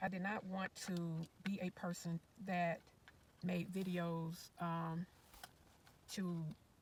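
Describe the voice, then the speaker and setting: A somewhat breathy woman's voice, fairly low in pitch, very slow, with monotone, flat intonation. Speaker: retired RV-living YouTuber. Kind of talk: casual livestream commentary. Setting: sitting in car, livestream.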